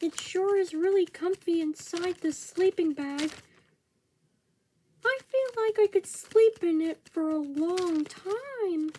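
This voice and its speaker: A cartoonish character voice at an extremely high pitch moves at a fairly slow pace over light background noise. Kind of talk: puppet show dialogue. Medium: puppet show. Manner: cheerful, innocent.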